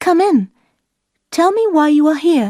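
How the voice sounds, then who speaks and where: A woman's put-on character voice, squeaky and extremely high-pitched, with very wide pitch swings at a moderate pace. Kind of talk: graded-reader story narration. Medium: read story.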